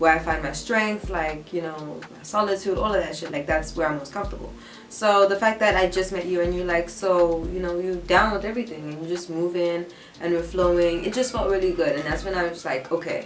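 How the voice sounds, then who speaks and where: A woman with a fairly low pitch talks at a fairly quick pace with ordinary pitch variation. The recording has audible room echo and noticeable background noise. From South Africa, Durban. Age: 20s. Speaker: YouTuber. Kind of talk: casual chat. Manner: animated.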